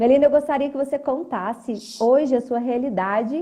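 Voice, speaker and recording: In a Minas Gerais accent, a woman speaks at a high pitch with a dark, mellow tone and lively intonation. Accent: mineiro. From Minas Gerais, Brazil. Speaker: teacher and live host. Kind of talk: live interview chat. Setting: live video stream.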